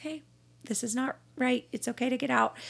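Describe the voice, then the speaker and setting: In a very clean recording with a silent background, a woman with an American accent speaks in a bright, sharp tone with vocal fry and ordinary pitch variation. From Texas, Dallas–Fort Worth area. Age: 30s. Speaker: podcast guest. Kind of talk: casual chat and testimony.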